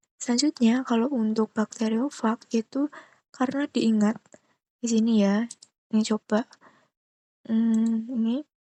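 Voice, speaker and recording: Whispering with very even loudness, a woman speaks fairly slowly with long, frequent pauses, the sound dry and close with no echo. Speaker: biology teacher. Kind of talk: tutorial.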